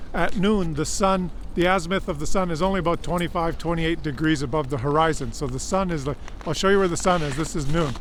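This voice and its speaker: In a room with audible echo, a man with a high pitch talks at a very fast pace. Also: ordinary pitch variation. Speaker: vlogger. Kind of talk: outdoor vlog monologue. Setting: outdoors in extreme cold. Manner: halting, many fillers.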